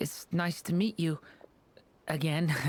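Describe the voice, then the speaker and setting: At a middle pitch, the speaker performs in a put-on character voice. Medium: video game. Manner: soft-spoken, polite.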